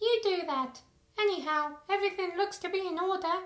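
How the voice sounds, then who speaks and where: In a put-on character voice that sounds female, the speaker goes squeaky and extremely high in pitch for a woman at a fairly quick pace. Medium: machinima. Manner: casual, flippant.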